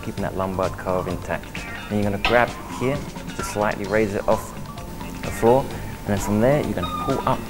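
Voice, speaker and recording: A man talks at a fairly quick pace with ordinary pitch variation while clear music plays in the background. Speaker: personal trainer. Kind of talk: exercise instruction. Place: gym.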